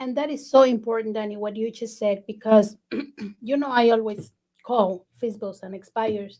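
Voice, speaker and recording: A woman with a non-native accent speaks at a fairly high pitch and moderate pace, her dark, mellow tone carrying fairly even intonation and big swings in loudness. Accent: foreign accent in English. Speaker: podcast host, real estate agent. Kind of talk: casual interview chat.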